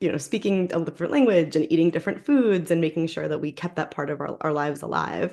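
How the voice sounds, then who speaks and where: A woman with an American accent talks very fast with hardly any pauses. Her fairly low voice is dark and mellow, with vocal fry and ordinary pitch variation. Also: quiet background. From New York, US. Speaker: novelist. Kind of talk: interview.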